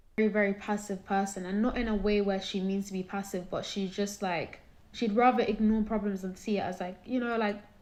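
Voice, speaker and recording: A woman with a British accent speaks at a medium pitch in a monotone, flat intonation. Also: fairly quick pace. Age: 20s. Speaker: caller sharing personal story. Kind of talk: testimony.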